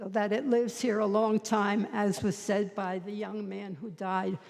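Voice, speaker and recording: In an American accent, a woman speaks very slowly at a fairly high pitch. There is noticeable background noise. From New Jersey (Harrison). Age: 90s. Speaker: public commenter. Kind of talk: public comment at council meeting. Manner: halting.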